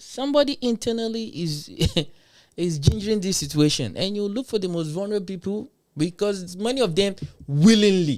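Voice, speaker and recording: An animated, high-pitched man's voice with a Nigerian accent. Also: very clean recording, silent background. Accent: Nigerian (Yoruba) English. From Nigeria, Yoruba. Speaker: livestream commentator. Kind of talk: livestream reaction commentary.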